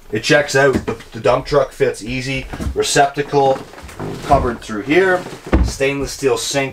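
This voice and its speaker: Music plays behind a man speaking at a moderate pace. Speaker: presenter. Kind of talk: product walkthrough tour. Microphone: camera far.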